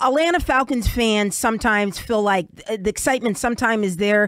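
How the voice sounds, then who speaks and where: A woman with an American accent talks at a fairly quick pace, with a fairly high pitch and ordinary pitch variation. She has an ordinary speaking voice, and the sound is dry with no echo over a quiet background. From New York. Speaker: talk radio host. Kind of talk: radio interview. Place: studio.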